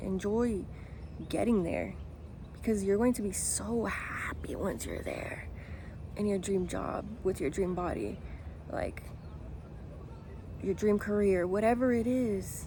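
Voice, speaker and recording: Somewhat breathy and dark, mellow in tone, a woman speaks with fairly even intonation and long, frequent pauses amid audible room echo. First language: Spanish. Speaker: lifestyle vlogger. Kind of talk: motivational talk to camera. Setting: outdoors in a park.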